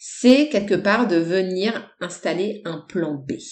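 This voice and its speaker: A woman speaks at a very slow pace with a medium pitch. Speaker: personal development and human design coach. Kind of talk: solo podcast talk. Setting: home recording. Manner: casual with many hesitations.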